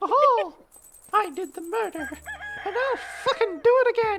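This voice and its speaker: The voice is a put-on character with an extremely high pitch. It moves at a moderate pace. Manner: crazy, cartoonish.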